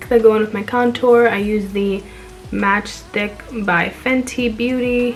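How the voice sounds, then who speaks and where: Faint music plays in the background. A woman speaks fairly slowly at a fairly high pitch with monotone, flat intonation. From Dominican-American, New Jersey. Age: 20s. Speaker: beauty content creator. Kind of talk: makeup tutorial voiceover. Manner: casual, friendly. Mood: relaxed, friendly. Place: home room. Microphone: phone near.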